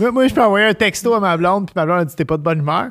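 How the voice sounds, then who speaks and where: Lively intonation carries the voice over a quiet background. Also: man. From Quebec. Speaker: chef and show host; podcast host. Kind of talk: casual chat. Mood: amused, storytelling. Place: home room. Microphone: studio mic.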